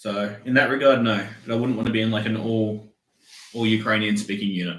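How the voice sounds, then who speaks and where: In an Australian accent, a man talks in a monotone, flat way, with long, frequent pauses. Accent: Australian, mild by own account. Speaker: soldier. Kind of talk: casual chat.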